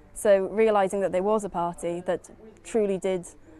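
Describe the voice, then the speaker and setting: A woman talks in a South Wales Valleys accent at a medium pitch. Her intonation stays monotone and flat. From Wales, South Wales Valleys. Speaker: youth party activist. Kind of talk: interview.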